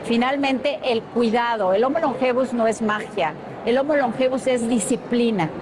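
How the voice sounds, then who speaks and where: Pitched high, a woman keeps her loudness very even while room echo and noticeable background noise come through. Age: 60s. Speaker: TV show host and journalist. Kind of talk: interview.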